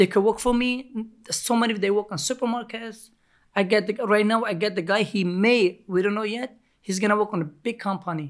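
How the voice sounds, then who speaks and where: A very clean recording with a silent background, in a Turkish accent at a fairly quick pace. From Turkey. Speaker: pizzeria owner and pizza acrobat. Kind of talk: casual interview. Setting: studio.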